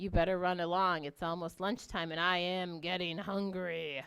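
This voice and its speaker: A woman puts on a gruff, gravelly character voice, fairly low in pitch, at a moderate pace. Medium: read story.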